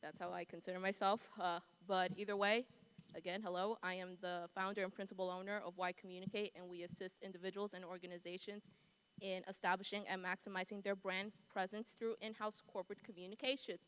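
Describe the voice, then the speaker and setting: Speaking in a strong New York accent, a woman talks at a fairly quick pace with a medium pitch and monotone, flat intonation. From New York City. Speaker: communications agency founder, panelist. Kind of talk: panel discussion. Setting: conference stage with audience.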